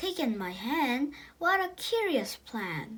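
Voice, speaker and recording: Doing a put-on character voice, a woman speaks at a fairly slow pace with a high pitch that swings very widely. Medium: read story.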